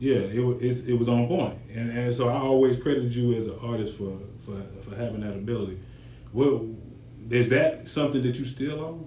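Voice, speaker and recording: A man's medium-pitched voice, fairly quick and fairly even in intonation, with audible room echo and noticeable background noise. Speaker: podcast host. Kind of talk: podcast interview.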